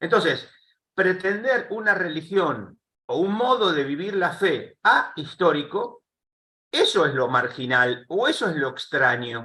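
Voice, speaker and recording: A man's high, bright, sharp voice, raised and projected, at a fairly slow pace with very wide pitch swings. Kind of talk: panel interview. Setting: live streamed call.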